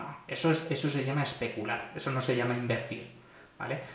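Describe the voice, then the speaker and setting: A medium-pitched man with audible room echo and noticeable background noise. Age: 20s. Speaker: podcast host. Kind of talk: solo podcast monologue. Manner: casual with fillers.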